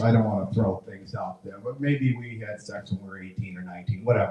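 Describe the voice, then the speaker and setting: Talking fairly quickly, a man uses a plain, everyday voice with ordinary pitch variation. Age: 60s. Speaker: stand-up comedian. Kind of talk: stand-up.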